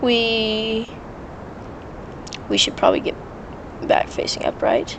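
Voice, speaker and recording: A woman speaks fairly slowly against noticeable background noise. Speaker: gaming YouTuber. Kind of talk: gameplay commentary. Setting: home bedroom. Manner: casual, hesitant with fillers.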